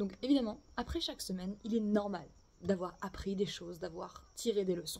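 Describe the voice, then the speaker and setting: A somewhat breathy woman's voice of medium pitch, with ordinary pitch variation and a moderate pace. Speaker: tarot and oracle card reader. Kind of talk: oracle card reading for viewers. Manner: casual, hesitant with fillers.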